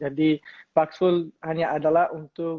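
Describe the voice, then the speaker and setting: The voice belongs to a man with a fairly high pitch. He speaks at a fairly slow pace. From Colombia. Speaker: crypto company business developer. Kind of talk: interview. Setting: livestream. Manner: halting, many fillers.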